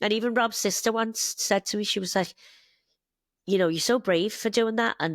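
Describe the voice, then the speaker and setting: Speaking at a fairly quick pace with a Liverpool accent, a woman has a fairly high pitch on a very clean recording with a silent background and a dry, close sound with no echo. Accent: Scouse (Liverpool). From northern England, Liverpool. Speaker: bartender and mother, immigrant. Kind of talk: casual interview chat.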